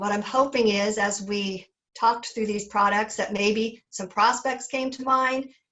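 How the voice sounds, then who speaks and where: With a fairly high pitch and fairly even intonation, a woman speaks in an ordinary speaking voice. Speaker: sales representative. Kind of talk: sales webinar presentation. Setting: webinar.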